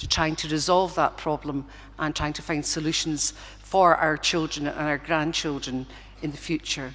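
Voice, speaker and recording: With vocal fry and a very deep, low pitch, a woman in a strong Glaswegian accent speaks at a moderate pace in a monotone, flat intonation. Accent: Glaswegian Scottish, still strong. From Scotland, Govan in Glasgow. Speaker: honorary graduate. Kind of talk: graduation acceptance speech. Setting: concert hall with audience. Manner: halting, with fillers and restarts.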